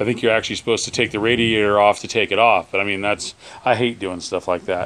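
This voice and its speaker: Fairly low in pitch, a man speaks at a very fast pace. His intonation is fairly even. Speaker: hobby tractor restorer. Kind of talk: casual repair vlog. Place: garage. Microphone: phone near.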